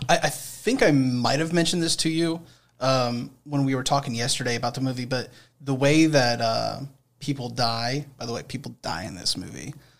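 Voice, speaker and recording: A man speaks at a moderate pace in an ordinary speaking voice. His pitch is medium, with ordinary variation. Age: 20s. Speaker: generations expert and former radio presenter. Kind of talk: casual chat.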